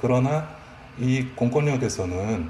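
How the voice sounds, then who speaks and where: A man speaks over noticeable background noise. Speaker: emergency medical professional. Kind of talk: interview.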